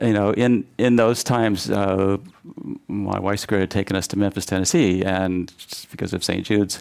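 A man's fairly low-pitched, ordinary speaking voice with fairly even intonation. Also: moderate pace. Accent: American. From US Midwest, western Kansas. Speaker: fertility doctor. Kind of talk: panel discussion. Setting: stage with audience.

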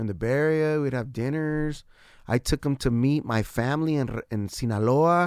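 In an American accent, a man with a fairly high pitch and a normal speaking voice talks at a moderate pace with ordinary pitch variation. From San Diego, California. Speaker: musician. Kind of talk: casual chat.

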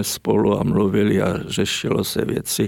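A man's fairly low voice with vocal fry, fairly even intonation and a fairly slow pace. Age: 80s+. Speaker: writer and artist, former stage technician. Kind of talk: interview.

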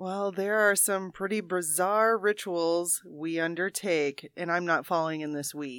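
A woman has an ordinary speaking voice with a fairly low pitch and ordinary pitch variation. She goes at a fairly slow pace with hardly any pauses. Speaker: quiz show panelist. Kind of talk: casual comedic banter. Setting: studio.

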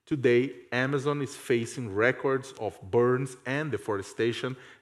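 Against a quiet background, a man talks at a moderate pace and medium pitch. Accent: Portuguese. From Brazil. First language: Portuguese. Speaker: journalist and professor. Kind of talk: reading a prepared text on a panel.

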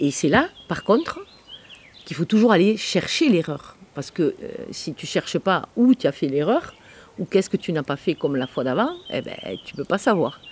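Against noticeable background noise, a woman at medium pitch speaks at a moderate pace with long, frequent pauses, very wide pitch swings and big swings in loudness. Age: 60s. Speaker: chef and cooking trainer. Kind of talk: interview.

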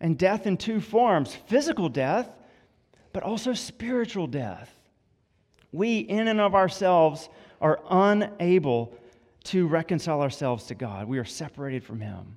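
On a very clean recording with a silent background, a man with a high pitch and a Southern US accent talks at a moderate pace with very wide pitch swings. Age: 30s. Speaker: campus minister. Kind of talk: sermon. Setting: church.

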